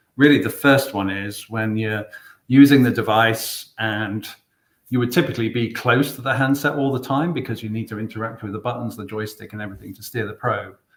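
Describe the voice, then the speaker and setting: A man with a British accent talks at a fairly quick pace and medium pitch. His intonation stays fairly even while his loudness swings widely. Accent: English UK. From England. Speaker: product specialist presenting a webinar. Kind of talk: product webinar presentation. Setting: online webinar. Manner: hesitant, many fillers.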